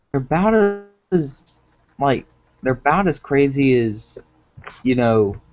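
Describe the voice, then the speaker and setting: Music plays in the background as a man speaks at a fairly high pitch and very even loudness. His pace is fairly slow, with long, frequent pauses. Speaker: gaming video host. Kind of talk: solo commentary on a livestream. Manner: halting, with self-described stuttering; casual, full of filler words.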